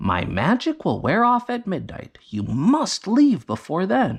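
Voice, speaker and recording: A man uses a put-on character voice. His pitch sits high. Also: fairly slow pace, quiet background. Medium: read story. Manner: warm, kindly.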